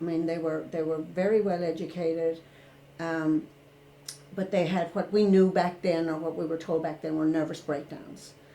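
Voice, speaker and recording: With an Irish accent, a woman speaks at a moderate pace in a fairly low, dark, mellow voice, keeping fairly even intonation with long, frequent pauses amid audible room echo. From rural Ireland. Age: 60s. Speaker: retired therapist. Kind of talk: interview.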